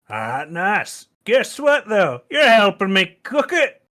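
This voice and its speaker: The speaker uses a put-on character voice at a fairly high pitch. The pace is very slow. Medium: actual play. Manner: gruff, crude.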